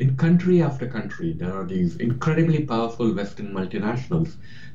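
Amid audible room echo, a man talks at a moderate pace and medium pitch with very wide pitch swings. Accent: American. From India, then Queens, New York. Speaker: author and journalist. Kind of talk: interview.

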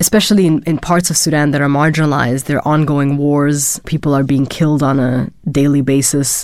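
A woman speaks at a fairly quick pace with hardly any pauses, her very deep, low pitch held at very even loudness. Her intonation stays fairly even. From Germany. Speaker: PhD student in anthropology. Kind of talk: interview testimony.

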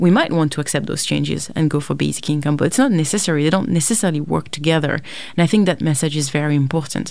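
A woman talks at a very fast pace in a French accent. Her pitch is very deep and low, with vocal fry. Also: ordinary pitch variation. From France, suburbs of Paris. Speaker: philosophy professor. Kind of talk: interview.

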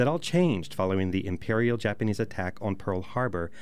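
A man's fairly low voice, a normal speaking voice, at a fairly quick pace with ordinary pitch variation. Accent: American. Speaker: archive director and radio host. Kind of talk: scripted narration introducing a historical program.

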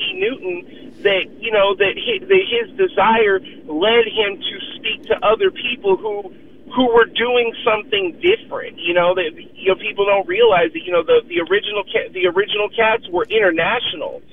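Amid noticeable background noise, a man speaks at a moderate pace with a high pitch and very wide pitch swings. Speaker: caller. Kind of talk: talk radio call-in commentary. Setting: phone call.

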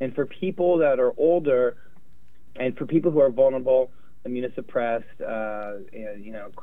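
Here is a plain, everyday voice. A man talks at a medium pitch and a moderate pace. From US West Coast, Los Angeles. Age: 50s. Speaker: infectious diseases doctor. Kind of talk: interview.

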